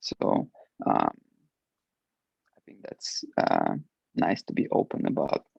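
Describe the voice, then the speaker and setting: A man with a Russian accent. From Ukraine. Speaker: alumni panelist, international employee. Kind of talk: panel discussion. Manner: halting, many fillers.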